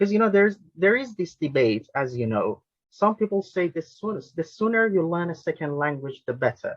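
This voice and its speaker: Speaking with a Persian accent, a man uses a high pitch with very wide pitch swings. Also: fairly quick pace. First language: Farsi. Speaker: linguist and language tutor, webinar host. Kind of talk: webinar interview question.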